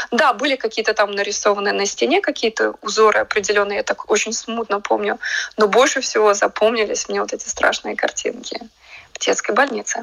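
Noticeable noise sits in the background. The speech moves at a fairly quick pace. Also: woman. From Latvia, Riga. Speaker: artist. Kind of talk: radio interview. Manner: hesitant, with fillers.

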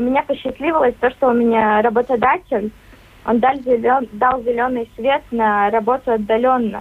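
Fairly even intonation and a moderate pace from a woman with a fairly high pitch. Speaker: young farmers club member. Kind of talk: radio interview. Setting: remote line.

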